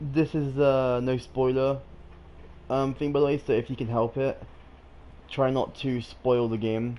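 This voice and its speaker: Long, frequent pauses from a man at medium pitch, his dark, mellow tone delivered in a monotone, flat intonation. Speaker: gaming streamer. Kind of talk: live gameplay commentary. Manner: fast; hesitant, many fillers.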